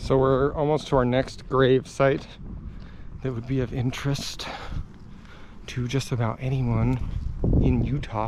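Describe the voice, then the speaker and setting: Over noticeable background noise, a man speaks in a medium, monotone, flat voice with long, frequent pauses. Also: fairly slow pace. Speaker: photographer vlogger. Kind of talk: casual vlog narration. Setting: outdoors in a cemetery.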